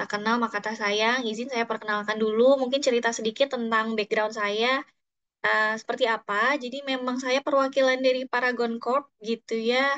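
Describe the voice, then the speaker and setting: A woman with a slight Sundanese accent speaks at a moderate pace and a fairly high pitch, her intonation monotone and flat. The sound is dry and close, with no echo. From Bandung, West Java (Sundanese). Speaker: psychologist and HR trainer. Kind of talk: online workshop talk. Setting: Zoom session. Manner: casual, hesitant fillers.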